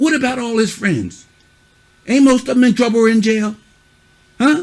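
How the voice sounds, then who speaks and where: A man speaks loudly in an extremely high pitch with an animated tone. His pace is moderate. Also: ordinary pitch variation. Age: old. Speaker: youth mentor. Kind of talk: stern lecture to kids.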